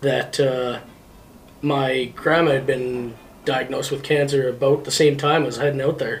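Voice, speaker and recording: A man with a Canadian accent and a fairly high pitch talks at a moderate pace in a flat, monotone delivery. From northern Manitoba, Canada. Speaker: truck driver. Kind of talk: casual chat.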